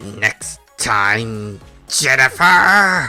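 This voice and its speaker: A man's put-on character voice over faint background music. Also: medium pitch for a man. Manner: screaming.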